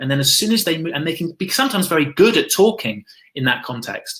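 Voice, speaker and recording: A man with a fairly high pitch speaks at a fairly quick pace in a bright, sharp tone. His intonation is lively. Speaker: school founder and education speaker. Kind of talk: online presentation to teachers. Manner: fast.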